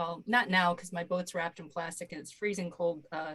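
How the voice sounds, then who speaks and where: A woman with an American accent has a somewhat breathy voice at a medium pitch, with fairly even intonation. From US Midwest, Michigan. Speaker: partner organization staff. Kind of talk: self-introduction on a video call. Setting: video call from home office.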